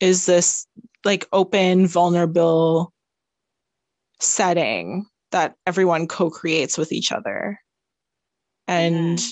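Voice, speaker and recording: Speaking very slowly, a woman with a Canadian accent holds a medium pitch. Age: 20s. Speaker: podcast co-host. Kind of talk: casual chat.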